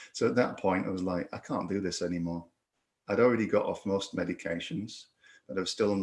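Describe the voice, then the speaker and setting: A man in a Yorkshire accent. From northern England, Yorkshire. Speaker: reiki instructor and podcaster, concussion survivor. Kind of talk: recorded personal testimony. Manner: halting, many repetitions and fillers.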